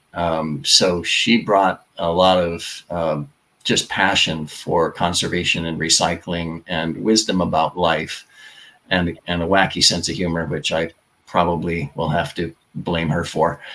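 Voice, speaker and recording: A bright, sharp tone at a fairly slow pace, with fairly even intonation. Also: man, very deep, low pitch for a man. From Hawaii, Honolulu. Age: 60s. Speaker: political candidate. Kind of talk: interview. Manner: halting.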